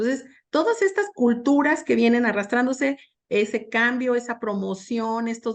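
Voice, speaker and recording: A woman at a fairly high pitch and fairly slow pace, in a quiet background. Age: 60s. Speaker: panel expert on organizational change. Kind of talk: panel discussion. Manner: halting, many fillers.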